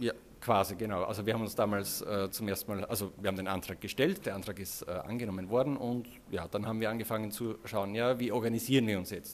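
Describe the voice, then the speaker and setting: Speaking very fast with fairly even intonation, a man with an Austrian accent uses a fairly low pitch. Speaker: web developer, agency co-founder. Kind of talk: casual interview. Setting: recorded at a conference.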